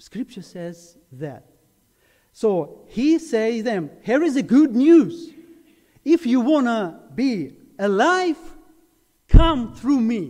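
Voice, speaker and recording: A man with a Ukrainian accent speaks very slowly with long, frequent pauses, in a dark, mellow tone at an extremely high pitch with very wide pitch swings. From Ukraine, Zaporizhia. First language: Ukrainian or Russian. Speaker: preacher. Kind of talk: sermon. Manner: halting.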